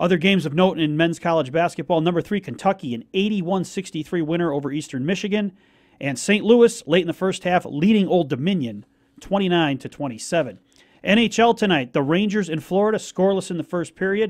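A man's high-pitched voice with ordinary pitch variation against a quiet background. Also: moderate pace. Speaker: radio announcer giving scores. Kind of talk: news and score reading.

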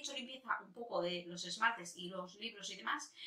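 A woman at a medium pitch, very fast and animated, with lively intonation and audible room echo. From Spain. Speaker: beauty youtuber. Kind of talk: casual vlog chat. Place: home room. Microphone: camera far.

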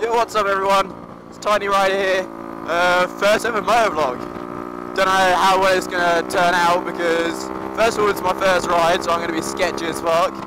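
A man talks at a fairly quick pace. Noticeable background noise and audible room echo surround his voice. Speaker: motovlogger. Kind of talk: casual vlog while riding. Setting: outdoors on a motorcycle. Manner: shouting over engine.

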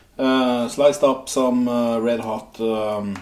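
Audible room echo follows the man's speech. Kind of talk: cooking tutorial. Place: kitchen. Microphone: camera far.

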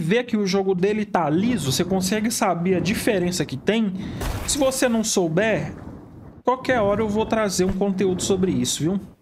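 The speaker keeps a moderate pace. Noticeable background noise sits behind the voice. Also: man. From Brazil. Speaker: gaming youtuber. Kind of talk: gameplay reaction commentary. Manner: animated. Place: home room.

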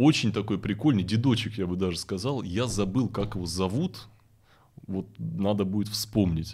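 Somewhat breathy, a man with a fairly low pitch speaks at a moderate pace. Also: ordinary pitch variation. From Russian Far East (Vladivostok). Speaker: event host and forum founder; event host. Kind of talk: casual interview chat. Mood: relaxed, reflective storytelling. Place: studio. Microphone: studio mic.

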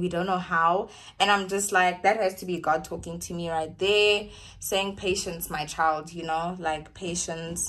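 Moderate-paced speech from a woman. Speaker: vlogger. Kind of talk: casual vlog chat. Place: home room. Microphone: phone near.

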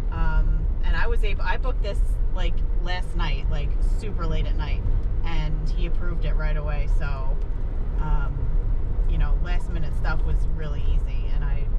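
Loud background noise fills the clip. Over it, a woman speaks with long, frequent pauses. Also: moderate pace. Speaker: motorcycle vlogger. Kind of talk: casual vlog chat. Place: car. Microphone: camera far.

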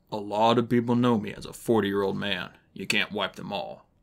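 A man's put-on character voice, raspy and fairly low-pitched, with fairly even intonation at a fairly quick pace on a very clean recording with a silent background. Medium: read story.

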